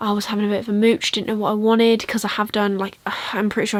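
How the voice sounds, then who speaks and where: Her voice fairly high, a woman speaks with an English accent. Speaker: book vlogger. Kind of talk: casual vlog chat. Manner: fast.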